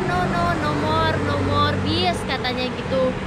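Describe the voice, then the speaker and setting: A woman is speaking. Crowd noise can be heard in the background. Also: dry sound with no echo. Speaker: travel vlogger. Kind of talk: casual vlog chat. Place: street. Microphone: phone near.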